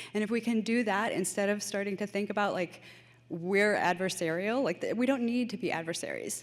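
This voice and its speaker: The woman talks at a fairly quick pace with ordinary pitch variation. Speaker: public commenter, school parent. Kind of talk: public testimony. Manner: informal, off-the-cuff.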